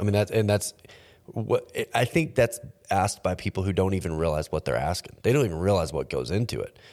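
The intonation is lively. Vocal fry shows up in the voice. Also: man, fairly low pitch for a man, fairly quick pace. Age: 30s. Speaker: podcast host. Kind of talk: casual chat.

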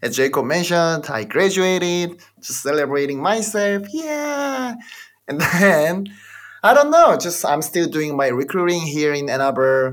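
The man's voice is high in pitch with very wide pitch swings. He speaks at a fairly slow pace. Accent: Korean. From South Korea. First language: Korean. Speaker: podcast host, MBA graduate. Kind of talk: casual chat. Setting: video call.

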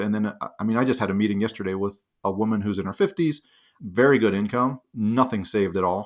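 A man talks at a very fast pace in an American accent. His pitch is fairly low and his intonation fairly even. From Pittsburgh, Pennsylvania. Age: 40s. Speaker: financial independence author and planner. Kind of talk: interview conversation. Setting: remote call.

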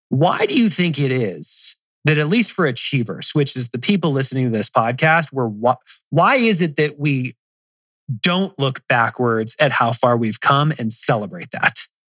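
An ordinary speaking voice from a man with fairly high pitch, lively intonation and a moderate pace, in a dry, close sound with no echo. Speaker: podcast co-host interviewer.

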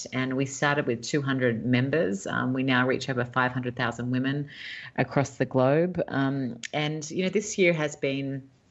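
A woman's very deep, low voice with an Australian accent. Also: ordinary pitch variation, fairly slow pace. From Australia, Sydney. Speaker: entrepreneur and author. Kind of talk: interview. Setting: remote call.

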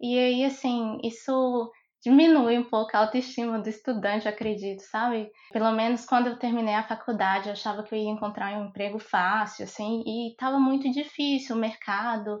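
Moderate pace and fairly even intonation from a woman, fairly high in pitch, an unremarkable speaking voice. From Brazil, Montes Claros, Minas Gerais. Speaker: civil engineer. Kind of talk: interview conversation.

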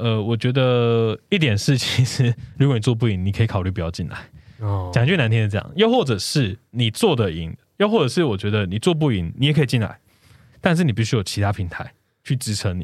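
On a very clean recording with a silent background, a man with a Taiwanese accent and medium pitch talks at a fairly quick pace with lively intonation. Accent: Taiwanese Mandarin. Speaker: podcast producer. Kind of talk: casual interview chat. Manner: halting, hesitant.

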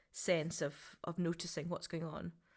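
In a very clean recording with a silent background, a woman with a fairly low voice speaks at a moderate pace with fairly even intonation. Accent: Scottish. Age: 40s. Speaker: writer, performer and creative director. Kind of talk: interview.

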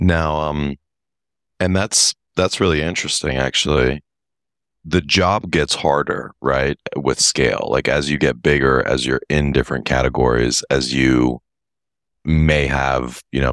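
Using a very deep, low pitch with vocal fry and ordinary pitch variation, a man speaks at a fairly slow pace. His loudness stays very even, and he takes long, frequent pauses. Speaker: podcast host. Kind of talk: interview, casual chat. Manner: upbeat, enthusiastic.

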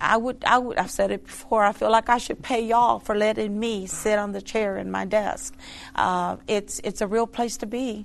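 This woman's voice sits fairly high in pitch. Her intonation is monotone and flat. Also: moderate pace. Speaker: prison ministry worker. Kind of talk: casual interview.

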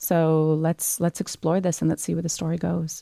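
With a Canadian accent and a plain, everyday voice, a woman with a fairly low pitch speaks at a fairly quick pace in a dry, close sound with no echo. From Canada, Montreal roots. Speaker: author. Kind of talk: interview.

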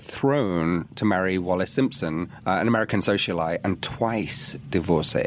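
A man with an English accent talks at a moderate pace, his loudness very even, his pitch varying in the ordinary way, and hardly any pauses. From England, working-class area. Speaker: podcast co-host. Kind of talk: casual chat.

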